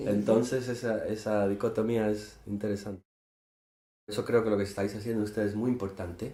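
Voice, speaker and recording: With a dark, mellow tone, this man speaks in a monotone, flat intonation. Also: fairly low pitch for a man. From Gibraltar. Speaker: poet and musician. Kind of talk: interview. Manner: hesitant, with fillers.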